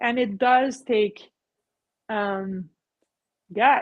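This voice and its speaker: A woman talks with ordinary pitch variation. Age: 50s. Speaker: massage therapist. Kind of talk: casual interview chat.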